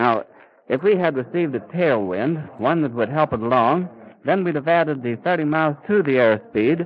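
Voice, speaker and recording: Here is a normal speaking voice. It goes at a fairly quick pace. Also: man. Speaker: radio reporter. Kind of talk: live radio news commentary. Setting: outdoors at an airfield.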